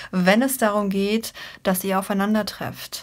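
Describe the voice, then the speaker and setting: At a very slow pace, a female voice talks. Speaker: card reader. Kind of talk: tarot reading commentary.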